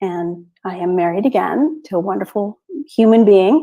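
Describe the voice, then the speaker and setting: With a dark, mellow tone and ordinary pitch variation, a woman speaks at a fairly slow pace. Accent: Canadian. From western Canada. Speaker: expat artist and photographer. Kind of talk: interview.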